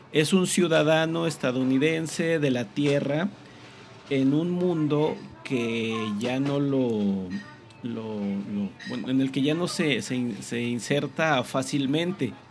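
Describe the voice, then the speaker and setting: With music in the background, a man speaks very slowly in a fairly high pitch with ordinary pitch variation. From Zacatecas, Mexico. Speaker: podcast host, teacher. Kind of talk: casual chat. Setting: café.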